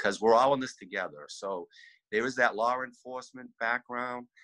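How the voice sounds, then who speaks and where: Bright, sharp tone against a quiet background. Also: man. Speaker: candidate, remote guest. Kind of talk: interview answer. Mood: earnest, personal. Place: home room. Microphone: video call.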